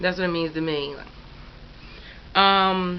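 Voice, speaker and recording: Speaking with an American accent, a woman keeps her pitch in the medium range. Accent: Philadelphia accent, noticed by others. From Philadelphia, US. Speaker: YouTuber. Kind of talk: casual questionnaire answers to camera. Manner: casual, filler-heavy.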